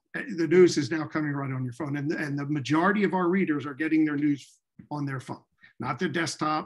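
Against a quiet background, a man speaks at a very fast pace, his fairly high pitch moving with ordinary variation. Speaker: newspaper editor. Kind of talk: panel discussion. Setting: video call. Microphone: earbuds.

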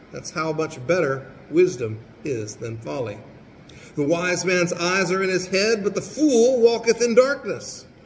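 A man speaks at a moderate pace. The room echo is audible.

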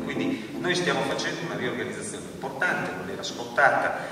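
A man's voice carries audible room echo. Loud background noise surrounds it. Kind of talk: public talk on theatre policy. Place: stage.

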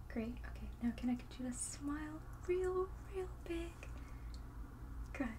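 The soft-spoken speaker goes at a very slow pace over noticeable background noise. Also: woman. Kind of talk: roleplay exam instructions. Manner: soft, gentle ASMR clinician voice. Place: home room.

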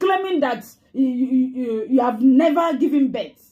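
Against a quiet background, a woman talks very slowly at a high pitch, with a dark, mellow tone and ordinary pitch variation. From Nigeria. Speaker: fan page commentator. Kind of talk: angry rant. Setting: online video. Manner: scolding and accusatory. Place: home room. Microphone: phone near.

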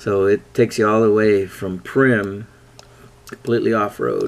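This is a man with a fairly low pitch. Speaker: off-road enthusiast. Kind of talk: casual screen-share tutorial. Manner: slow. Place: home room. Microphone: phone near.

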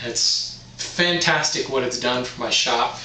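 The tone is bright and sharp. Room echo is audible. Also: man.

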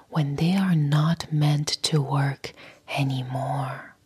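A woman with a very deep, low pitch speaks at a very slow pace with fairly even intonation. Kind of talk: motivational talk to camera. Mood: soft, calm, soothing. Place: home room. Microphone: lapel.

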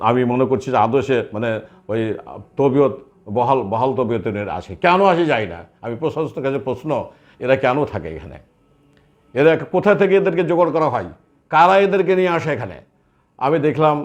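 With very wide pitch swings around a medium pitch, a man's voice carries vocal fry. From Bangladesh, Chapainawabganj. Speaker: war veteran association leader. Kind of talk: interview statement.

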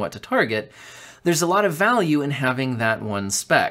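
Lively intonation and a fairly bright tone come through at a moderate pace. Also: man.

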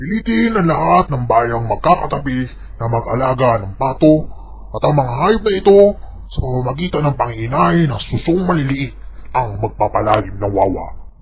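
In a cartoonish character voice, a man speaks at a moderate pace and medium pitch, swinging very widely in pitch over light background noise. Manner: pompous.

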